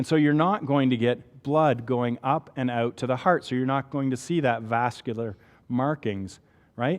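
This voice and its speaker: An animated man with a Canadian accent, medium pitch and ordinary pitch variation. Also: moderate pace. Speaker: physician lecturer. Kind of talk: lecture. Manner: conversational, animated.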